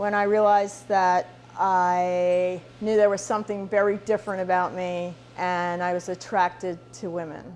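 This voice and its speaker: A woman with an American accent speaks at a fairly slow pace in a normal speaking voice, her pitch medium. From outside the US. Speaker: interviewee. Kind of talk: testimony.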